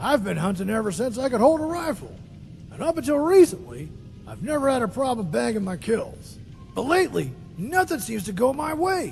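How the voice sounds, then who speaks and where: In a put-on character voice, a man speaks at a fairly quick pace, gruff and extremely high-pitched, with very wide pitch swings over clear background noise. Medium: machinima. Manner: gruff, cantankerous.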